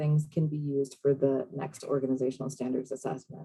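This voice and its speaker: This woman talks at a fairly quick pace. Her tone is dark and mellow, and somewhat breathy. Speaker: state program manager presenting on a call. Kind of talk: online meeting presentation. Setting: video call. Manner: fast.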